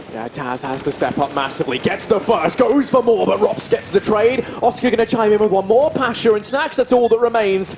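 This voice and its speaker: Over noticeable background noise, a high-pitched man talks at a fairly quick pace with lively intonation and hardly any pauses. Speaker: esports caster. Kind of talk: live commentary. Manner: animated; fast.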